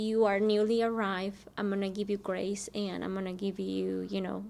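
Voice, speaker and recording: Speaking in a Spanish accent, a woman keeps a medium pitch and moderate pace with monotone, flat intonation. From Mexico. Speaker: school district program director. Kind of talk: interview.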